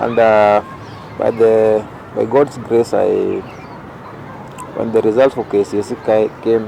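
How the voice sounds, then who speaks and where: Noticeable background noise surrounds a man of medium pitch speaking in a monotone, flat intonation. His pace is fairly slow, with long, frequent pauses. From Kenya (Rongo area). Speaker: youth leader. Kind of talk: interview. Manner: halting.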